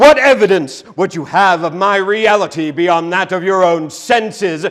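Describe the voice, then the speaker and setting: A man performs a put-on character voice, high-pitched, raised and projected. He keeps a moderate pace over light background noise. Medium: stage play. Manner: solemn, deliberate.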